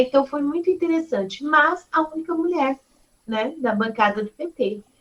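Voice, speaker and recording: A woman speaks with very wide pitch swings. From São Paulo, Brazil (eastern periphery). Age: 40s. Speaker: city councillor and politician. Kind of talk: interview.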